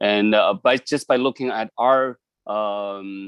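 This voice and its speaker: A man's medium-pitched voice with a Chinese accent and fairly even intonation. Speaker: community member. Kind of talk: public testimony. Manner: halting.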